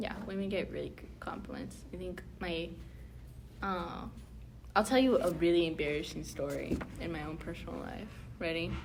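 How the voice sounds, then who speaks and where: At a moderate pace, a woman speaks with long, frequent pauses and big swings in loudness, and room echo can be heard. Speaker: round table discussion host. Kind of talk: casual chat. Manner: animated.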